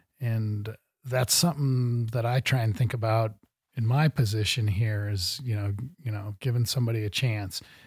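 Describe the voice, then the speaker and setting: Somewhat breathy and in an American accent, the speaker moves at a moderate pace with fairly even intonation on a very clean recording with a silent background. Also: man, medium pitch for a man. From US Midwest. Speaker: podcast host. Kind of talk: interview. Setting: studio.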